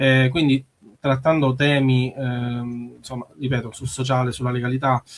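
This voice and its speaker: A man's medium-pitched voice in a monotone, flat intonation at a moderate pace. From Sicily. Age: 30s. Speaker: musician. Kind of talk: radio interview. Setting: radio studio. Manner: halting.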